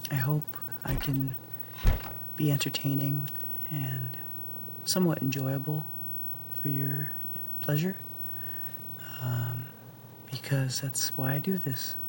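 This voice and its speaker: The voice is quiet and very slow, with long, frequent pauses. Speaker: gaming commentator. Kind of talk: casual gameplay commentary. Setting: home recording late at night. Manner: quiet, keeping voice down; relaxed, many fillers and sighs.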